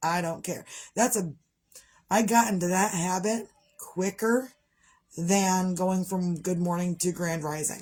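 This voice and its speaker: An animated, somewhat breathy tone with long, frequent pauses. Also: woman, medium pitch for a woman. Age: 40s. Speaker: vlogger. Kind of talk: casual vlog monologue. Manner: fast.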